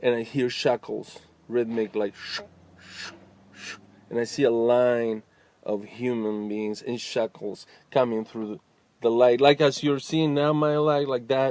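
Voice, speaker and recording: With a Spanish accent, a man speaks at a fairly slow pace with long, frequent pauses, fairly even intonation and big swings in loudness. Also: medium pitch for a man. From Argentina. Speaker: musician. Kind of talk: personal vlog monologue. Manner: spontaneous, with fillers and hesitations.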